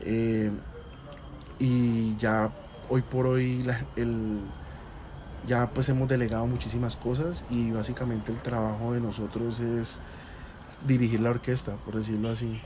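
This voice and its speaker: A man talks in a monotone at a medium pitch, at a fairly slow pace with long, frequent pauses. Noticeable background noise and audible room echo are present. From Colombia, Cali. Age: 20s. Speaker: restaurant entrepreneur. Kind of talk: interview.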